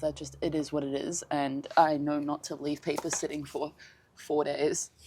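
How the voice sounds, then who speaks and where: A woman talks at a moderate pace. The recording is very clean and the background silent. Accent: British. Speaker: craft vlogger. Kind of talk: casual vlog narration.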